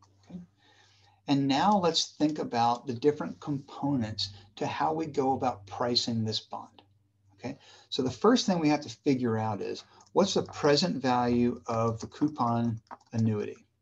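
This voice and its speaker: Lively intonation in a Southern US accent, with big swings in loudness. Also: man, medium pitch for a man, moderate pace. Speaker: university professor. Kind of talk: lecture. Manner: casual, conversational.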